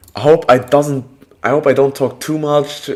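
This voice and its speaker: Speaking with a non-native accent at a very slow pace, a man uses a fairly high pitch. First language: not English. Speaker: calisthenics content creator and streamer. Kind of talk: live stream chat. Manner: halting, self-correcting.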